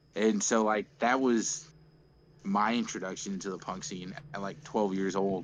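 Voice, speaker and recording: In a plain, everyday voice, a man talks at a moderate pace with fairly low pitch and ordinary pitch variation. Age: 20s. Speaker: punk band musician. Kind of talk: casual chat.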